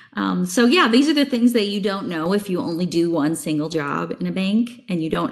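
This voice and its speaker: A woman with an American accent talks at a moderate pace with vocal fry and very wide pitch swings. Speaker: banking technology sales executive. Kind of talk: casual interview.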